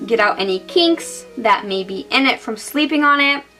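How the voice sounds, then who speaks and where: Music plays in the background as a woman talks at a fairly high pitch with lively intonation. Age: 20s. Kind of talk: casual hair tutorial to camera. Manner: efficient, detailed, can come across as angry.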